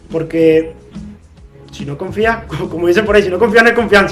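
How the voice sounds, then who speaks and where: A man speaks with a Venezuelan accent and ordinary pitch variation. Music plays in the background. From Maturín, Monagas, Venezuela. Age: 20s. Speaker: football coach. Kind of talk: interview answer.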